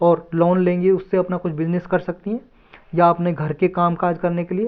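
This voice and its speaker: A man's voice, high in pitch. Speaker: teacher. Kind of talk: lecture. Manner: casual, conversational.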